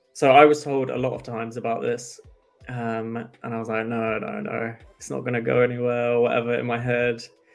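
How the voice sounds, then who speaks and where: A man talks at a fairly quick pace in a monotone, flat intonation, with big swings in loudness. Faint music plays behind him. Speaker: crypto analytics presenter; presenter. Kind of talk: livestream tutorial. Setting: live stream with quiet background music. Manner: fast; casual, conversational. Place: home room.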